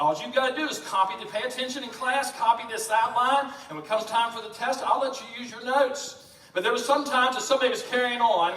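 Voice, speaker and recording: A man with a Southern US accent, extremely high-pitched with ordinary pitch variation, at a very fast pace, amid noticeable background noise and audible room echo. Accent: Southern American. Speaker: pastor. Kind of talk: sermon.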